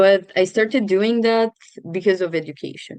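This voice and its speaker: The speaker is a woman. She talks with a Romanian accent. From Romania, Tulcea. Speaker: student and NGO founder. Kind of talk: interview.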